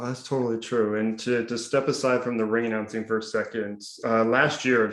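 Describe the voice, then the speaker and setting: A man talks at a fairly quick pace in a medium pitch. His intonation is monotone and flat. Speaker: announcer. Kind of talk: interview host questions.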